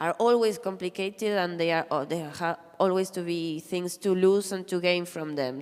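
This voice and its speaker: Delivered at a moderate pace with ordinary pitch variation, the speech carries a Spanish accent. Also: woman. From Argentina. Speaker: comic artist. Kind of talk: panel discussion. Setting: stage with audience.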